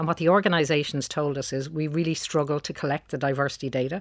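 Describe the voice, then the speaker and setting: Very deep and low, a woman's voice comes with a Dublin accent and ordinary pitch variation at a very fast pace. The recording is very clean, with a silent background. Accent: Dublin Irish. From Dublin, Ireland (Beaumont). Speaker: company founder and CEO. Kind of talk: radio interview.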